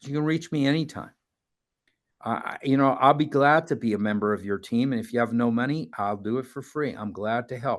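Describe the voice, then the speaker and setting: A man speaks at medium pitch and a fairly quick pace. His pitch varies in an ordinary way. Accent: New York. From New York. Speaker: mental health advocate and family facilitator. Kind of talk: talk to a support group audience.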